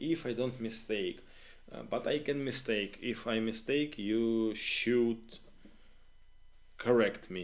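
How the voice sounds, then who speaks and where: A man with a Ukrainian accent speaks at a very slow pace, with ordinary pitch variation. His pauses are long and frequent. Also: medium pitch for a man. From Ukraine. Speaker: live stream host. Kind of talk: live stream chat with viewers. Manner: halting, many fillers.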